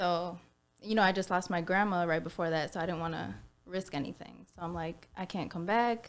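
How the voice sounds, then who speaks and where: Speaking at a fairly quick pace, a woman with an American accent keeps her intonation fairly even. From Minnesota. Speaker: nurse and lash tech. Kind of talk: casual interview chat. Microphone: mic buzzing, may be too far or gain too high.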